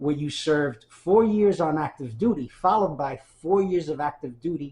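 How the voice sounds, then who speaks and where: A somewhat breathy man with a dark, mellow tone at a moderate pace. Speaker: research librarian and archivist. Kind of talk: oral history interview questions.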